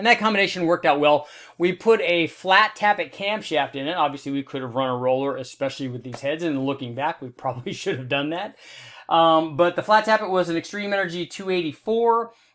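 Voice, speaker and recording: In an enthusiastic tone, a high-pitched man speaks fairly quickly with lively intonation over a quiet background. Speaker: automotive engine tester and video host. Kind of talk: technical explainer video. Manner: casual, enthusiastic.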